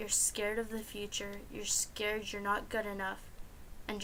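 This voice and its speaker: Her bright, sharp tone sits at a medium pitch, delivered at a moderate pace with monotone, flat intonation. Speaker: student. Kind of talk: reading own personal essay. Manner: stuttering, pausing often.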